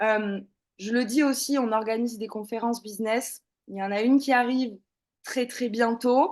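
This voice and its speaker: Against a quiet background, a woman speaks at a moderate pace with a fairly high pitch and fairly even intonation. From southern France, Toulouse. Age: 30s. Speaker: former social worker, network marketing member. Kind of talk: testimony. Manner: hesitant, many fillers.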